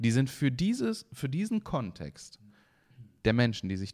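A man at medium pitch, very wide pitch swings, a very slow pace, on a very clean recording with a silent background. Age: 30s. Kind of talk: casual chat.

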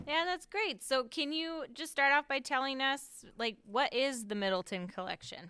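In a very clean recording with a silent background, a woman speaks in a high, raised, projected voice with a bright, sharp tone, very wide pitch swings, a moderate pace and hardly any pauses. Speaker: podcast host. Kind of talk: interview, host introducing guest.

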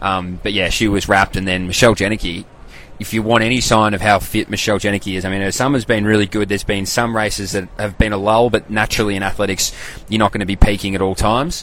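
A man with an Australian accent, fairly low-pitched, talking at a very fast pace. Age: 20s. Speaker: athletics podcaster and former athlete. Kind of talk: casual live-stream commentary. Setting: live stream. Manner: animated.

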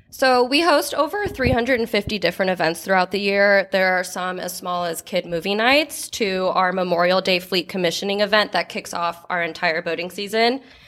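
With an American accent, a woman talks at a fairly quick pace with hardly any pauses. Her medium pitch shows ordinary variation, and there is noticeable background noise. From Chicago, Illinois, then US West Coast. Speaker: marketing assistant. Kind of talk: interview.

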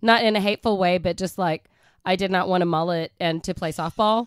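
A woman with a normal speaking voice talks at a medium pitch and a fairly quick pace with ordinary pitch variation, in a very clean, dry, close recording with a silent background and no echo. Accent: American. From Oklahoma. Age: 50s. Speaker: podcast co-host. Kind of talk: casual chat.

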